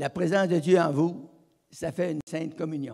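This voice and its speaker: A man with a dark, mellow tone and a high pitch speaks at a moderate pace with fairly even intonation. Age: 80s+. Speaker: evangelist. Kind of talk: sermon. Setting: church. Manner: halting.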